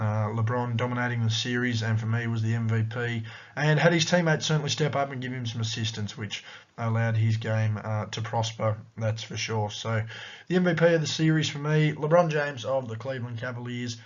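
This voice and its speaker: A man with an Australian accent, medium pitch, ordinary pitch variation and a fairly quick pace, in a room with audible echo. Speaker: sports commentator / YouTuber. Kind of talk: sports analysis vlog.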